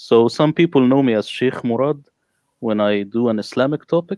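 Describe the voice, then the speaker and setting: A man with an Arabic accent speaks at a moderate pace, with a dry, close sound and no echo. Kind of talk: panel discussion.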